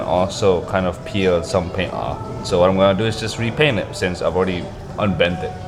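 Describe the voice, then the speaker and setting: A man talks at a fairly quick pace, with audible room echo and music playing in the background. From Indonesia. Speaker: motorcycle vlogger. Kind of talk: casual vlog Q&A. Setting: at desk, home. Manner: loud, close to mic. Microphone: very close to microphone.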